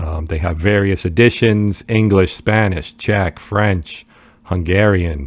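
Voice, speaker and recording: A man's very deep, low voice in a New Jersey accent, fairly slow and with fairly even intonation. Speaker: board game youtuber. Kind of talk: casual video commentary. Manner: halting, many fillers.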